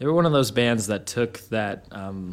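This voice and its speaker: Here a man speaks in an ordinary speaking voice with a medium pitch and ordinary pitch variation. The recording is very clean, with a silent background. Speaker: guest. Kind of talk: casual chat, guest talking music. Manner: relaxed, fast, rambling.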